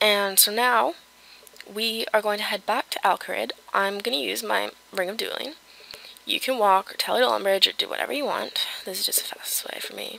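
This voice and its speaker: Noticeable noise fills the background. A woman talks at a fairly quick speed. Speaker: gaming video creator. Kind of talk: game walkthrough tutorial. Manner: casual, with many fillers.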